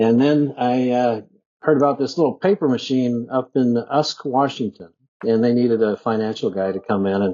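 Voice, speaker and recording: This man has an ordinary speaking voice at medium pitch, with ordinary pitch variation and a moderate pace. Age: 50s. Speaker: bitcoin mining executive. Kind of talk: casual interview. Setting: remote podcast call. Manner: conversational with fillers.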